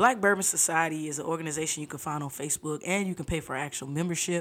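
A woman with an American accent talks at a fairly quick pace and fairly low pitch, with ordinary pitch variation, in a normal speaking voice. The recording is very clean, with a silent background. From US South, Fort Lauderdale, Florida. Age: 30s. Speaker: research administrator. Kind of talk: casual chat.

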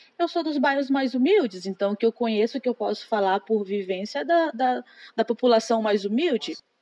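A woman's fairly high, dark and mellow voice with lively intonation, the sound dry and close with no echo. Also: moderate pace. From Brazil, Maranhão (Imperatriz). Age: 20s. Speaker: secretary. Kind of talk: interview. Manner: hesitant, many fillers.

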